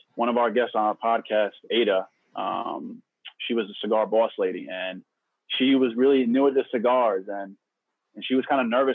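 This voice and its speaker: At a moderate pace, the speaker talks in an ordinary speaking voice. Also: man. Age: 20s. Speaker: podcast co-host. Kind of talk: casual chat.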